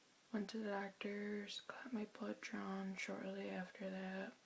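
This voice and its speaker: Soft-spoken, a woman talks at a very slow pace. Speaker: vlogger. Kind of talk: personal testimony. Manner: halting.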